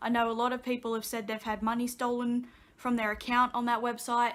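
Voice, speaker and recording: With an Australian accent, a woman speaks at a moderate pace in a fairly high pitch. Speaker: vlogger. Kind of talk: casual chat. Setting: sitting on couch at home.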